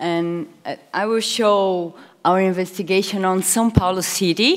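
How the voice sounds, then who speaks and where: Speaking with a Portuguese accent, a woman at medium pitch talks at a fairly slow pace with ordinary pitch variation. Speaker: researcher. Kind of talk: conference presentation.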